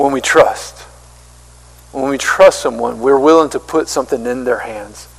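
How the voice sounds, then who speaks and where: Over noticeable background noise, a man with a Southern US accent talks at a moderate pace. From US South, small-town South Carolina. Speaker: pastor. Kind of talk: sermon. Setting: church.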